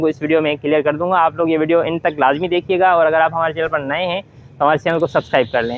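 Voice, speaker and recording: Recorded dry with no echo, a man speaks fairly quickly in a high pitch with fairly even intonation. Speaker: education channel host. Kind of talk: tutorial explanation. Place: garden. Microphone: lapel.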